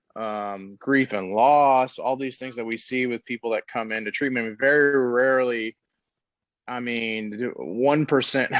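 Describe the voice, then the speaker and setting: Dry, close sound with no echo, a man with a plain, everyday voice, medium pitch, an American accent, fairly even intonation and a moderate pace. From Texas, Dallas. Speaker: treatment center owner, recovering addict. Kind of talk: podcast interview.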